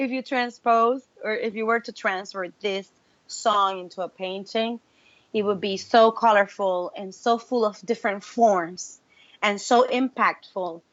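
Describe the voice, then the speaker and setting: A woman speaks at a fairly slow pace with a Spanish accent. Her pitch is fairly high. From Puerto Rico. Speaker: singer-songwriter. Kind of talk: interview. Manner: animated.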